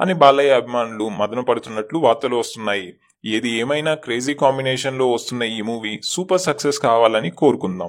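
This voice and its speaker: At medium pitch, this man has an ordinary speaking voice. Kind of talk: entertainment news narration.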